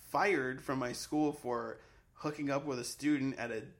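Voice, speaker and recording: Using a normal speaking voice with an American accent, a man talks at a fairly high pitch and a moderate pace. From Massachusetts, near Boston. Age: 30s. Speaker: comedy writer. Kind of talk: casual chat.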